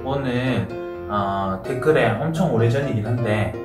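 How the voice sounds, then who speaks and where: Over clear background music, a man talks at a very slow pace with ordinary pitch variation. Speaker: food vlogger. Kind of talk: casual mukbang chat. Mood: relaxed, friendly. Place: home room.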